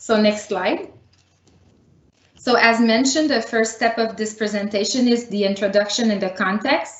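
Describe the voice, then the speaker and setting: A woman speaks with a Quebec accent. Her intonation is fairly even. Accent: Canadian French. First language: French. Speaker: municipal planning director. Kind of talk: public meeting presentation. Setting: virtual meeting.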